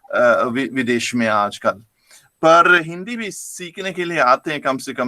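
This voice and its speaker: In a very clean recording with a silent background, a man with a German accent speaks in a bright, sharp tone with ordinary pitch variation. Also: dry, close sound with no echo. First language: German (speaking Hindi). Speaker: professor. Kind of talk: lecture. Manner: halting.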